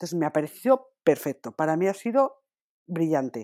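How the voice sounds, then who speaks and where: A woman's fairly low voice with very wide pitch swings, on a very clean recording with a silent background. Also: dry, close sound with no echo. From Spain. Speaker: podcast co-host. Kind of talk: casual chat.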